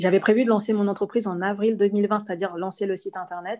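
With a quiet background, a woman speaks at a medium pitch in a monotone, flat intonation. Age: 30s. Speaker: entrepreneur. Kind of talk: interview. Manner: hesitant.

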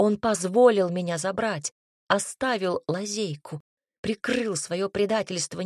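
Over a quiet background, the pitch of an unforced reading voice varies in an ordinary way.

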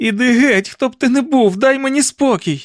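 Shouting in a hoarse, put-on character voice, a man hits an extremely high pitch at a moderate pace with ordinary pitch variation. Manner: shouting, pleading.

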